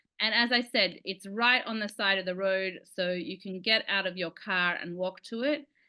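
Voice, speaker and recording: A fairly slow pace in an Australian accent, with fairly even intonation. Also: woman. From Sydney, Australia. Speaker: licensed tour guide. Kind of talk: online lecture with slides.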